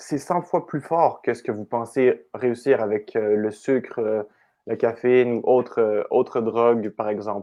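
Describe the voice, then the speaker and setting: Speaking very slowly in a Quebec accent, a man holds a medium pitch with ordinary pitch variation. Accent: Québécois French. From Quebec, Canada. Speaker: coach. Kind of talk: podcast interview answer.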